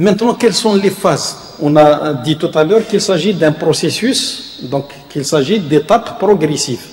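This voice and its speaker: Lively intonation at a fairly slow pace, with audible room echo. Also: man. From Algeria. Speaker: university professor and vice-rector; university professor. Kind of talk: lecture. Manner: halting, many hesitations. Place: hall. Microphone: podium.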